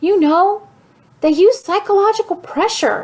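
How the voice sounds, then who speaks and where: Squeaking at an extremely high pitch, a woman performs a put-on character voice. Her speed is moderate. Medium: read story. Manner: despairing.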